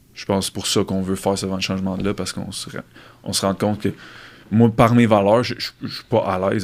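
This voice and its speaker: Very fast and monotone, a man talks with flat intonation at a fairly low pitch. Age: 20s. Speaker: fitness coach and podcast host. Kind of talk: casual chat.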